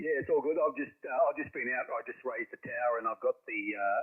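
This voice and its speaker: A man talking at a very fast pace with an Australian accent. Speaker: ham radio operator. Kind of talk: amateur radio contact. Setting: radio transmission.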